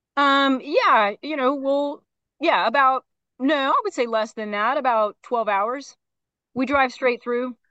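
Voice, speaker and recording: A woman with an American accent speaks at a high pitch in a raised, projected voice with a bright, sharp tone. Her pace is fairly slow with ordinary pitch variation, in a dry, close sound with no echo against a quiet background. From Phoenix, Arizona. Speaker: animal rescue transport director. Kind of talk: interview.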